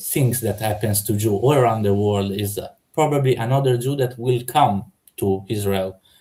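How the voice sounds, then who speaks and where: A man with a non-native accent speaks at a medium pitch in a dark, mellow, somewhat breathy tone, with ordinary pitch variation and a moderate pace. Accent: foreign. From Italy. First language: Italian. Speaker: debater. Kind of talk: heated debate. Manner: halting, many fillers.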